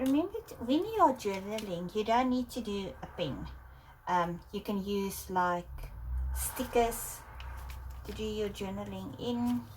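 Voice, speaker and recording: Speaking with a South African accent, a woman goes at a fairly slow pace with long, frequent pauses. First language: Afrikaans. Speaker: art journaling creator. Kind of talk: casual tutorial. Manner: hesitant, many fillers.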